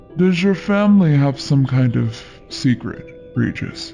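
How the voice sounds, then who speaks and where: Over clear music in the background, a man uses a put-on character voice at a fairly high pitch and a moderate pace. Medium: read story. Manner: jovial, proper.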